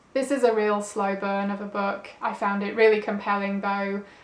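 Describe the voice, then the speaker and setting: Against noticeable background noise, a woman with a medium-pitched voice talks at a fairly slow pace in a flat monotone. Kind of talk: book review video talking to camera.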